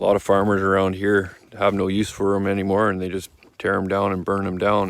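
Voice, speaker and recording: The speaker is a man with a fairly low pitch. He talks at a moderate pace. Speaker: small farmer, homesteader. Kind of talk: casual vlog tour. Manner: halting, with fillers.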